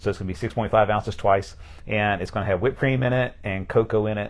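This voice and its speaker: This man speaks with an American accent at a very fast pace. His pitch is fairly low and his intonation fairly even. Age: 50s. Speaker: pastor. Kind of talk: casual interview. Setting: livestream.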